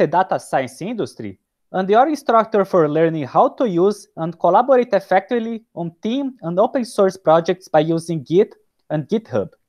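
A man speaks at a high pitch with very wide pitch swings. The background is quiet. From Brazil. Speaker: data scientist and course instructor; course instructor. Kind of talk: scripted narration; casual chat. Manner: paused, deliberate delivery. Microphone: video call.

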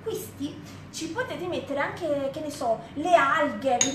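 Noticeable background noise sits behind a woman speaking fairly slowly in a high pitch. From Campania, Benevento area. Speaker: cooking show host. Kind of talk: cooking demonstration livestream. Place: kitchen. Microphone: phone near.

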